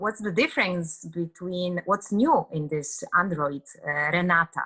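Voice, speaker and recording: With a Polish accent, a woman speaks at a fairly slow pace and a fairly low pitch with ordinary pitch variation. Her tone is bright and sharp, and her loudness swings widely. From Poland. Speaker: actress. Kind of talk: interview. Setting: video call. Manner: halting.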